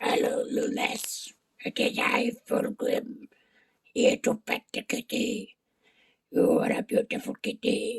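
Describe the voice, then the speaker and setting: A raspy, put-on character voice with fairly high pitch moves at a fairly slow pace. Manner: weird, grand, stilted.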